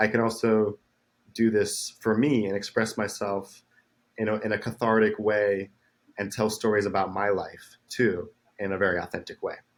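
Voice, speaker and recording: A man's fairly low voice, flat and monotone, at a moderate pace on a very clean recording with a silent background. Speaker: musician. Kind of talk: interview.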